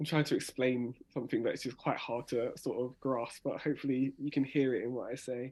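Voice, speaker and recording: A man with a dark, mellow tone talks at a fairly quick pace and fairly even intonation over a quiet background. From South London. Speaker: spoken word artist. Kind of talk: workshop tutorial. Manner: fast talker.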